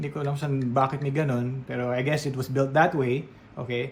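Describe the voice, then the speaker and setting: Somewhat breathy, a man speaks with a Filipino accent. His pitch is fairly high and his pace moderate. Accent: Filipino English with Tagalog code-switching. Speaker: radio DJ and voiceover artist. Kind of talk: product review talking to camera. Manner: professional radio-trained, clear, friendly.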